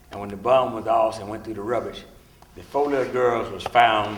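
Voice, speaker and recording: Fairly even intonation from a man with a fairly low pitch, with audible room echo and noticeable background noise. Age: 70s. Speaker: civil rights veteran. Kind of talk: testimony.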